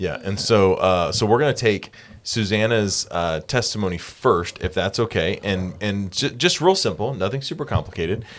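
At a moderate pace and with hardly any pauses, a man with a fairly low pitch uses ordinary pitch variation in an unremarkable speaking voice. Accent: American. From South Carolina. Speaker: church podcast host. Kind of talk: casual interview. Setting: podcast studio.

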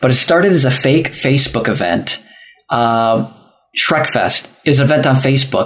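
At a moderate pace, a man with an ordinary speaking voice talks at a fairly high pitch, with ordinary pitch variation. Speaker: festival organizer. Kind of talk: casual chat. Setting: live-streamed podcast.

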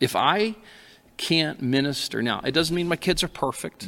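A man talks at a moderate pace with lively intonation and a bright, sharp tone. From Alaska. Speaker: pastor. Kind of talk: casual chat.

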